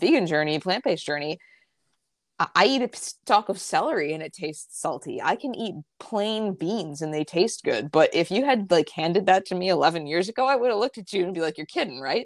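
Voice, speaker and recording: A woman with an American accent speaks at a fairly quick pace in a fairly low pitch, with lively intonation and a normal speaking voice. The recording is very clean, with a silent background. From upstate New York, near Albany. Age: 30s. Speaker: health coach and nutrition writer. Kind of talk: casual interview.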